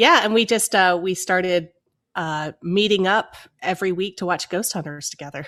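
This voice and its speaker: A bright, sharp tone in an American accent, moderate pace, quiet background. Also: woman, medium pitch for a woman, ordinary pitch variation. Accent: Appalachian accent, reduced. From US Appalachia, northeast Tennessee. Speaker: podcast co-host. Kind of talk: casual chat. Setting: remote recording.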